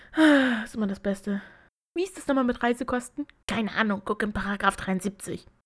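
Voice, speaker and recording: A woman's somewhat breathy, fairly high voice with ordinary pitch variation at a moderate pace. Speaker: podcast co-host. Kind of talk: casual chat.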